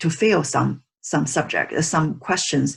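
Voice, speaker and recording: A woman speaks at a fairly low pitch. Her voice has vocal fry. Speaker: teacher, psychologist. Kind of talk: online lecture. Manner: halting with many fillers.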